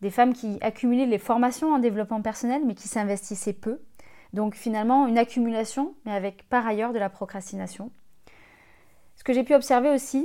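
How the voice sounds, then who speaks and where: A woman speaks in a fairly high pitch with a dark, mellow tone, captured in a very clean recording against a silent background. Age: 30s. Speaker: life coach and podcast host. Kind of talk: scripted podcast monologue.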